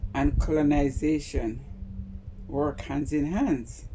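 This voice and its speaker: Over noticeable background noise, a woman with a very deep, low pitch speaks very slowly with ordinary pitch variation. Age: 60s. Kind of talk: casual talk to camera.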